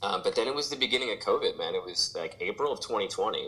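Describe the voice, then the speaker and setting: A man speaks in a Midwestern American accent. His pace is moderate. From St. Louis, Missouri, US Midwest. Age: 40s. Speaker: pop punk musician. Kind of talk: casual interview chat.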